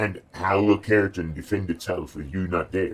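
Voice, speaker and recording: A man puts on a character voice with a very deep, low pitch, delivered at a moderate pace. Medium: read story. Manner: measured, questioning, guarded.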